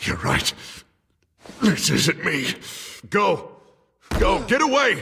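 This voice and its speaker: A man uses a raspy, put-on character voice. He speaks very slowly, with long, frequent pauses. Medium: video game. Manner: menacing, erratic.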